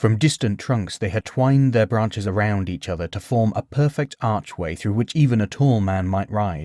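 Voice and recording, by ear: Natural-voiced reading aloud with ordinary pitch variation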